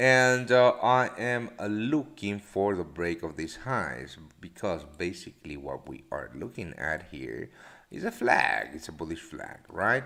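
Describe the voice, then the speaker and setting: Speaking at a fairly slow pace, a man with a fairly low pitch uses a bright, sharp tone, vocal fry, very wide pitch swings and big swings in loudness. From Latin America. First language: Spanish. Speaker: forex trader and live show host. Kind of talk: live stream market commentary. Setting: live stream. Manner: halting, many fillers.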